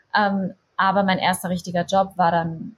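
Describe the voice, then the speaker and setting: Somewhat breathy speech at a moderate pace with monotone, flat intonation. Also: woman. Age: 20s. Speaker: content creator and yoga teacher. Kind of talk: casual interview.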